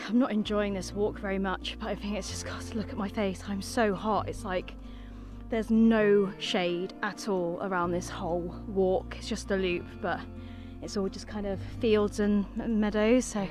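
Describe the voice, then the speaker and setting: A moderate pace over clear background music, with a dry sound and no echo. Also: woman. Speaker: nature vlogger. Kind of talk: casual vlog chat. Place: open country. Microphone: phone near.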